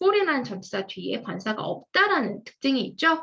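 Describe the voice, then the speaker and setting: A woman projects a raised, high-pitched voice at a moderate pace. Her pitch swings very widely. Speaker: English grammar lecturer. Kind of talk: lecture.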